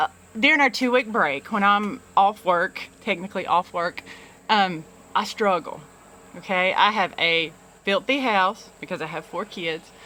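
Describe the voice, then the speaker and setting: Speaking with a Southern US accent, a woman talks at a medium pitch and moderate pace with ordinary pitch variation. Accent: Southern, self-described poor English. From US South, small-town Alabama. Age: 40s. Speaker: vlogger, youth program director and business owner. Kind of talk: personal confessional vlog. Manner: halting, many fillers and repeats.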